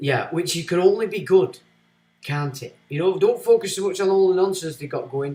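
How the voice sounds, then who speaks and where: The voice has a dark, mellow tone and swings widely in loudness. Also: man, high pitch for a man, ordinary pitch variation, moderate pace. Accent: Lancashire. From Lancashire, northern England. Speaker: streamer reading viewer comments. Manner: casual, rambling.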